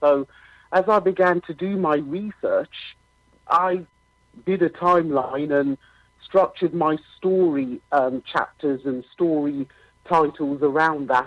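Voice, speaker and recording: A woman's very deep, low voice at a fairly slow pace, with ordinary pitch variation and long, frequent pauses. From UK. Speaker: author, podcaster, school leader. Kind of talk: interview answer.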